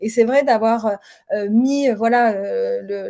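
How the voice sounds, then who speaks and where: At a moderate pace, a woman speaks with a fairly high pitch and a dark, mellow tone. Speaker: former HR director and founder. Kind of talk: webinar interview. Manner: halting, many fillers.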